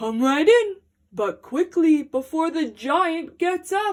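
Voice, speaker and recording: A woman does a put-on character voice at an extremely high pitch. She speaks at a very slow pace. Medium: read story.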